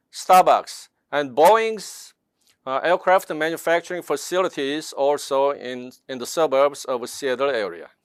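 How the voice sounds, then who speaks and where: A man in a Korean accent speaks at a fairly slow pace with a fairly high pitch and lively intonation. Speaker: network marketing distributor. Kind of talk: seminar presentation. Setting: online seminar.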